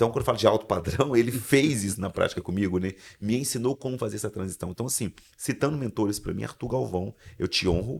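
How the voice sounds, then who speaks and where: Very fast and animated, a man speaks in a somewhat breathy voice at a fairly low pitch with ordinary pitch variation, on a very clean recording with a silent background. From Brazil, Espírito Santo interior. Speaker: motivational speaker and mindset coach. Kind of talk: podcast interview. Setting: studio.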